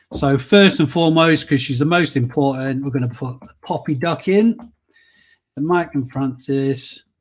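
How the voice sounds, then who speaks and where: In a very clean recording with a silent background, a man with a northern English accent talks at a moderate pace in a fairly high voice, his pitch varying in an ordinary way while his loudness swings widely. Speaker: reseller vlogger. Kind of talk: live stream giveaway. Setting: live stream with chat. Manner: casual, chatty.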